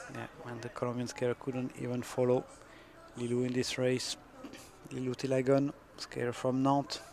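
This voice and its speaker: In a French accent, a man speaks at a moderate pace and medium pitch with monotone, flat intonation and long, frequent pauses, with noticeable background noise behind him. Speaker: sports commentator. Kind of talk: live commentary.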